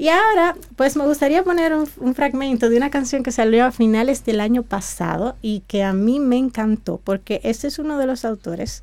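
Her voice sits high and its intonation is lively. This woman talks at a moderate pace. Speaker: music appreciation teacher. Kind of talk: radio talk segment.

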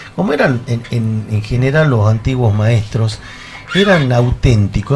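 Noticeable background noise fills the recording. Over it, a man speaks at a moderate pace. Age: 50s. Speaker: folk musician. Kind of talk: casual chat. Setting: studio.

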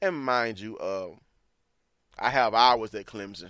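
A man with a Southern US accent at a medium pitch, ordinary pitch variation, on a very clean recording with a silent background. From Mississippi. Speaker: sports podcaster. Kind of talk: sports recap podcast. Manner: animated.

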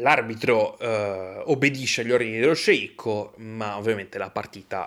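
A man with an unremarkable speaking voice talks at a moderate pace and medium pitch, recorded very cleanly against a silent background. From Italy. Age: 20s. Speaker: podcaster. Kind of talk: solo monologue on football history. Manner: casual, with frequent fillers.

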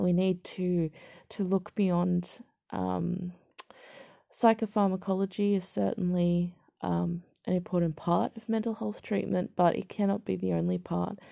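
Talking at a fairly slow pace, the woman has an Australian accent. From Australia, major city. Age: 20s. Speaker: podcaster sharing mental health experience. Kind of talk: personal monologue. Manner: halting, many fillers and repeats.

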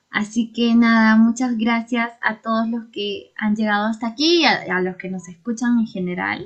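The voice is somewhat breathy and moves at a moderate pace with hardly any pauses. Its pitch variation is ordinary. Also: woman, fairly high pitch for a woman. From Peru, Huancayo. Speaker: podcast co-host. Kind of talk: casual discussion.

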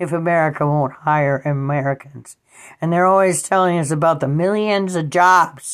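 A woman with an unremarkable speaking voice talks at a moderate pace, her fairly low pitch following a fairly even intonation. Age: 60s. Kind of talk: personal monologue.

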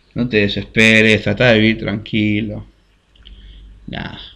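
This man speaks in a Rioplatense accent. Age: 20s. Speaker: podcast host. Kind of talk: casual storytelling monologue. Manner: halting.

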